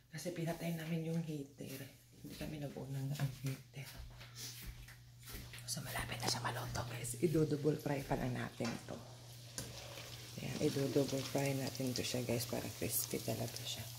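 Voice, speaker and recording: A soft-spoken woman with a very deep, low pitch and ordinary pitch variation talks at a moderate pace with long, frequent pauses, over noticeable background noise and audible room echo. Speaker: vlogger. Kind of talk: casual vlog.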